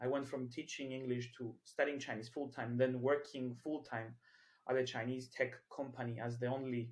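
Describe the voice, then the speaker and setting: Somewhat breathy, a man at medium pitch speaks at a fairly quick pace in a monotone, flat intonation. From Cyprus. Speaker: entrepreneur, community founder. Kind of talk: podcast interview. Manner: hesitant, many fillers.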